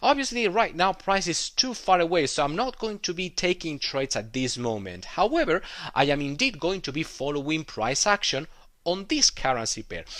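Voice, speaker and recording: In a very clean recording with a silent background, a man with a non-native accent speaks at a moderate pace and high pitch, with very wide pitch swings. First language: not English. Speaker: trading educator. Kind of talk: tutorial. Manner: halting, many fillers.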